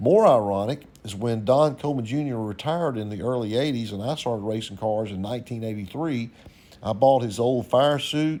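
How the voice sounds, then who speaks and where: A man's dark, mellow voice with a Louisiana accent, ordinary pitch variation and a fairly quick pace. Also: medium pitch for a man. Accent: US Southern (Louisiana). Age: 60s. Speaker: YouTube host, race car builder. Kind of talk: narrated photo commentary. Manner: casual, conversational.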